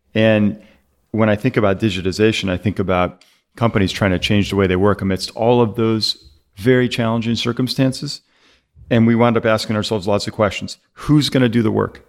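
In a very clean recording with a silent background, a man uses an ordinary speaking voice at a fairly low pitch. He talks at a fairly quick pace, with very even loudness and fairly even intonation. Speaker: tech account executive. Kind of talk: casual industry discussion. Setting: studio.

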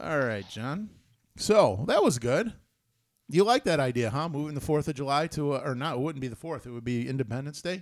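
In a very clean recording with a silent background, a man with an American accent and an ordinary speaking voice talks at a fairly quick pace with lively intonation and a fairly high pitch. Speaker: podcast host. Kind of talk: casual chat.

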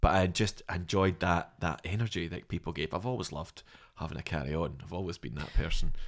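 A man speaks at a fairly quick pace in a Scottish accent. His very deep, low voice has vocal fry and ordinary pitch variation. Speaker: comedian and actor. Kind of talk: casual chat. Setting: studio.

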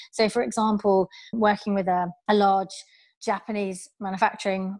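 A woman speaks with a British accent. Her intonation is flat and monotone. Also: very clean recording, silent background. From England. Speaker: customer marketing manager. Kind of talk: interview conversation.

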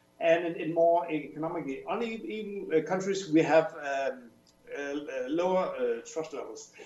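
Speaking with a Danish accent, a man uses a high pitch and ordinary pitch variation at a fairly slow pace. There is audible room echo and noticeable background noise. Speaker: professor. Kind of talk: radio interview. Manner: halting, many fillers.

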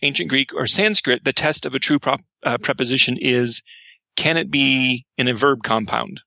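Speaking with an American accent at a medium pitch, a man shows vocal fry and a bright, sharp tone, recorded dry and close with no echo over a quiet background. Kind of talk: casual podcast discussion. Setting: remote call.

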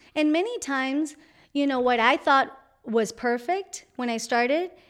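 With a Spanish accent, a woman speaks at a moderate pace. Her pitch is high. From Colombia. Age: young. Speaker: entrepreneur, founder of a language school. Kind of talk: interview.

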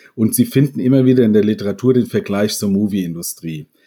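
A man's medium-pitched voice with a dark, mellow tone and ordinary pitch variation, in a very clean recording over a silent background. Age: 50s. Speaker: professor of business informatics, games industry expert. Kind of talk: interview.

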